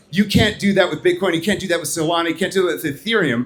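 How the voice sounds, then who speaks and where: A man speaks loudly. His pitch is high. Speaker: startup CEO presenting a blockchain project. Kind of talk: conference presentation. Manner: fast.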